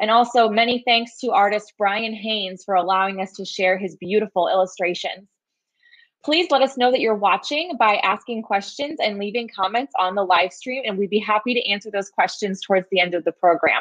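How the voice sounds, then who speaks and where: With ordinary pitch variation, a woman's speech moves at a fairly quick pace over a quiet background. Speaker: program director and webinar host. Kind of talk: moderated live-stream introduction and wrap-up. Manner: friendly, hesitant with filler words. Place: home room. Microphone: webcam.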